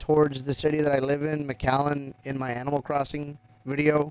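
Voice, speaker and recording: A man with a South Texas accent and a fairly high pitch, over noticeable background noise. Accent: South Texas American English. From US South, Texas (Rio Grande Valley). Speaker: gaming live streamer. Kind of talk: casual chat. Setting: live stream. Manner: halting.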